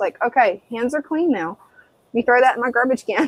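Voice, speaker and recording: Woman, fairly high pitch, with an American accent. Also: dry, close sound with no echo. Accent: Southern US accent, usually toned down. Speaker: live stream co-host, hobbyist. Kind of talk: casual live stream chat.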